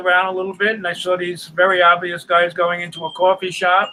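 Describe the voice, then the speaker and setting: With a New York accent, a man speaks at a high pitch and a moderate pace. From New York City. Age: 80s+. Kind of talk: interview.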